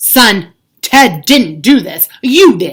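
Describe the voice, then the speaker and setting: A woman puts on a character voice, pitched high and moving in very wide pitch swings. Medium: read story.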